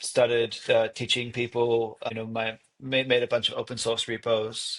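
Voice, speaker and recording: A man with an Australian accent talks at a moderate pace and a medium pitch. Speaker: software developer and educator. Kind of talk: casual interview.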